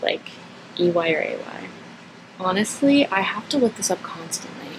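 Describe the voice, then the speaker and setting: A woman with an American accent at a moderate pace, amid noticeable background noise. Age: 20s. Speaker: vlogger. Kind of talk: casual Q&A monologue. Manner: casual, hesitant with fillers.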